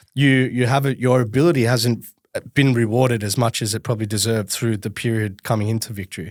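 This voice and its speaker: At a very fast pace, a man with a medium pitch speaks with fairly even intonation. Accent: Australian. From Melbourne, Australia. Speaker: podcast host. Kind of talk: casual interview chat.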